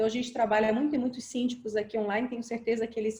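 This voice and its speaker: A woman's fairly high, somewhat breathy voice with a dark, mellow tone and fairly even intonation. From Brazil, Florianópolis (Santa Catarina island). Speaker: software company presenter. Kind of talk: webinar presentation. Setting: online video webinar. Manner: fast.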